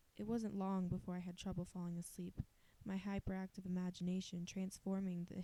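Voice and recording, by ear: The text is read aloud in a natural voice.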